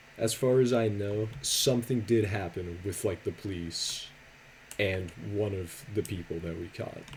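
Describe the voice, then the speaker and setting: The speaker is soft-spoken. The delivery comes at a fairly slow pace. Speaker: YouTuber and streamer. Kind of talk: casual storytime commentary. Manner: quiet, soft-spoken.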